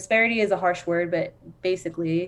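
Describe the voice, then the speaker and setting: A woman with an American accent speaks at a medium pitch in a monotone, flat intonation. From US Southwest (Phoenix, Arizona). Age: 30s. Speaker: social worker / workforce development professional. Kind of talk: casual podcast interview. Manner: fast; hesitant, many fillers.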